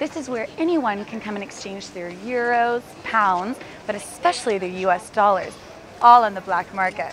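An upbeat, animated woman with an American accent, fairly high in pitch and fairly quick in pace, in a dry sound with no echo amid noticeable background noise. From Texas. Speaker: travel TV host. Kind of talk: on-camera travel presenting. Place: street.

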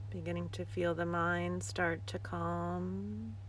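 A woman speaks in a soothing tone at a very deep, low pitch, her intonation monotone and flat. The sound is dry with no echo, over light background noise. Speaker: yoga teacher. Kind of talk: guided breathing meditation, live-streamed with viewers greeting in. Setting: outdoors in the desert, livestream. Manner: slow, soothing breath cues with long pauses; gently repetitive, affirming mantra-like phrasing. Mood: calm, soothing. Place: open country. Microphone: phone near.

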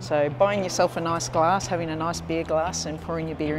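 A woman talks fairly quickly while clear music sounds behind her. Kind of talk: interview answer. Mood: friendly, smiling. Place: factory.

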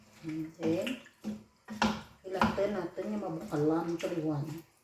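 The speaker talks at a fairly slow pace. Background noise is noticeable throughout. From Antique, Philippines. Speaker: home cook vlogger. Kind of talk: cooking tutorial. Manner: casual, code-switching.

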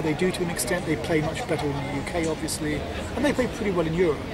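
Over loud background noise, a man talks at a very fast pace in a dry sound with no echo. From England. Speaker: animation studio co-founder and producer. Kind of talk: interview. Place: garden.

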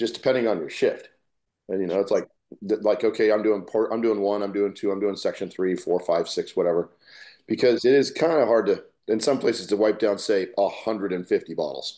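A man talks at a fairly quick pace, with a quiet background behind him. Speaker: podcast co-host. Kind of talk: casual podcast chat. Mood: relaxed, storytelling. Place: home room.

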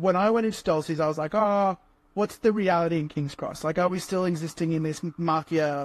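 A man's high-pitched voice at a fairly quick pace, with fairly even intonation and a dry sound with no echo. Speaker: guest. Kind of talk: interview answer.

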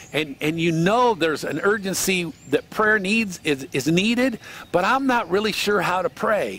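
A man's high voice with very wide pitch swings, a moderate pace and a dry sound with no echo. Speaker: cowboy preacher / devotional speaker. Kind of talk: sermon / devotional teaching. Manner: earnest, conversational. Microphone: headset.

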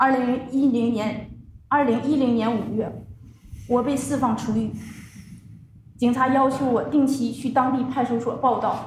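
In a Chinese accent, a woman speaks at a high pitch and a moderate pace with monotone, flat intonation and long, frequent pauses. Audible room echo and light background noise surround her. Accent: Mandarin Chinese. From China. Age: 30s. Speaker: religious persecution survivor; witness. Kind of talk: testimony. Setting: conference panel with microphones. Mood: solemn, grave. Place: meeting room. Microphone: podium.

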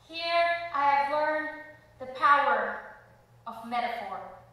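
Raised and projected, a woman's high-pitched voice moves at a very slow pace through strong room echo. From Belize. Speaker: spoken word performer. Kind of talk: spoken word poetry performance. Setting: theater stage. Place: stage.

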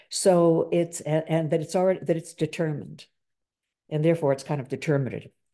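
A woman speaks at a very fast pace in a very deep, low voice, her intonation fairly even. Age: 70s. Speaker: discussion leader on Christianity. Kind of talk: reflective talk and group discussion. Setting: video call. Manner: hesitant, many fillers. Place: home room. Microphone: video call.

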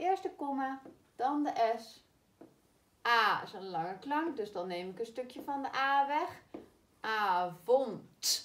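Very slow and broken by long, frequent pauses, a woman's high voice makes very wide pitch swings and big swings in loudness. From Netherlands. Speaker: primary school teacher. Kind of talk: spelling lesson for children. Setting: recorded video lesson. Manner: slow, clearly articulated. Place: classroom. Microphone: camera far.

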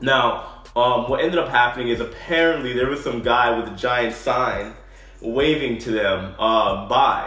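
A man's voice with audible room echo and faint music in the background. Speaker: former cruise ship entertainer vlogger. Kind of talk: casual vlog chat. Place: home room. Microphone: phone near.

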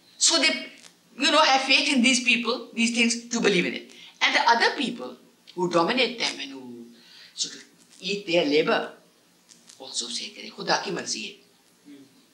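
A woman speaks with long, frequent pauses and very wide pitch swings in a fairly high voice. Her loudness swings a lot, and the room echo is audible. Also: moderate pace. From Pakistan, Lahore; Pakistan. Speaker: women's rights activist; interviewee. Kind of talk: interview. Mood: earnest, indignant. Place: home room. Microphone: old recording.

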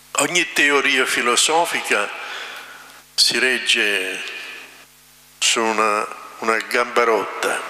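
A man talks at a very slow pace with long, frequent pauses and ordinary pitch variation. Audible room echo is present. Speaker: priest. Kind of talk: sermon. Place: church. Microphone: podium.

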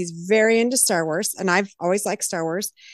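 With lively intonation and a fairly quick pace, a woman talks in a plain, everyday voice, the sound dry and close with no echo. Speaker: singer-songwriter. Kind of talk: casual interview.

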